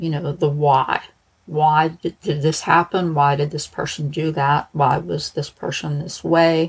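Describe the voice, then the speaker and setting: In a Pittsburgh accent, a woman speaks with a fairly low, somewhat breathy voice. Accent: Pittsburghese. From Pittsburgh, US. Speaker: true crime podcaster, former probation officer.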